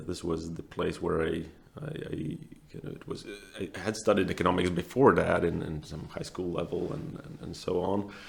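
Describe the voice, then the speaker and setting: A man's very deep, low voice with a Latvian accent, moderate pace and ordinary pitch variation over noticeable background noise. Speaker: asset manager. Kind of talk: interview. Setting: room with open windows. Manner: halting.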